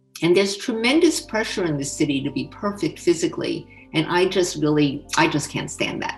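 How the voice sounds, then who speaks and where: A woman speaks at a fairly quick pace. Behind her, music is playing. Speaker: former scientist. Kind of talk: interview answer.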